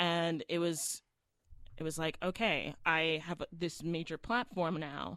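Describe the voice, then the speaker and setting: An ordinary speaking voice from a woman, fairly low in pitch, at a fairly slow pace with fairly even intonation, on a very clean recording with a silent background. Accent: American. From South Florida. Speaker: stage actress and singer. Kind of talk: interview.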